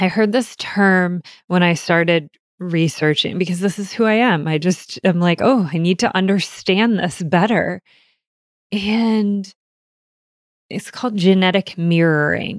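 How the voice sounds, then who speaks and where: The voice moves at a fairly slow pace with long, frequent pauses and ordinary pitch variation. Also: woman. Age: 40s. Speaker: podcast host. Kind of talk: personal storytelling.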